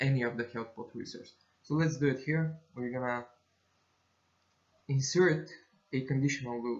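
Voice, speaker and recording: The man's intonation stays fairly even. He talks at a moderate pace. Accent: non-native. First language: not English. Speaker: game development tutorial creator. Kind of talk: screen-recorded tutorial. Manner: halting, many fillers and self-corrections.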